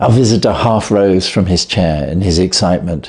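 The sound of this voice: With a slightly husky edge and a slightly mellow tone, a man talks at a low pitch with ordinary pitch variation. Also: moderate pace.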